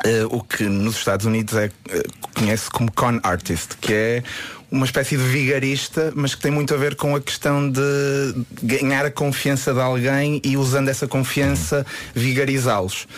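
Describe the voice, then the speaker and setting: Over noticeable background noise, the voice holds a very even loudness with ordinary pitch variation. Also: man, medium pitch for a man, moderate pace. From Porto, northern Portugal. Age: young. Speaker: magician. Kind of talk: radio interview, casual chat.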